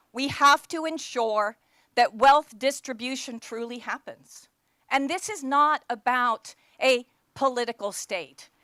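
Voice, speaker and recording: In an American accent, a woman with a high pitch and a bright, sharp tone uses a raised, projected voice with big swings in loudness, ordinary pitch variation and a fairly slow pace. The sound is dry and close with no echo, in a very clean recording with a silent background. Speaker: think tank leader. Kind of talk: conference speech. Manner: animated.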